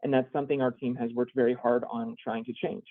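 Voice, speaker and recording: Very fast speech from a man at medium pitch. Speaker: state business program manager. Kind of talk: webinar presentation.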